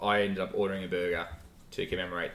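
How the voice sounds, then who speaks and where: A man with an Australian accent. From Melbourne, Australia. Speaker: podcast co-host. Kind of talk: casual chat.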